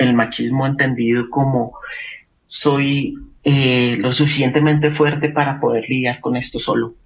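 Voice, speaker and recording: Somewhat breathy and fairly high in pitch, a man's voice moves at a fairly slow pace with fairly even intonation. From Colombia. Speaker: psychologist. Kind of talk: expert interview. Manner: hesitant, many filler sounds.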